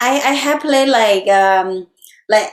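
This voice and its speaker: A fairly high female voice with ordinary pitch variation. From Thailand, rural Isaan. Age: 40s. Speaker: techno DJ and producer. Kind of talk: interview. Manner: halting, broken English.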